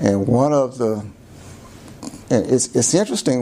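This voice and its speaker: Against noticeable background noise, a voice with an American accent speaks at a fairly slow pace. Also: man. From Florida, USA. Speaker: lawyer. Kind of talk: oral history interview answer. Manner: hesitant, many fillers.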